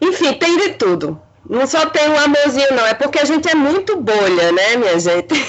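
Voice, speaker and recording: A woman with a high pitch speaks at a moderate pace, her loudness very even while her pitch swings very widely. Noticeable background noise sits behind her. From Olinda, Pernambuco, Brazil. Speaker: filmmaker and actress. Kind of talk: casual chat.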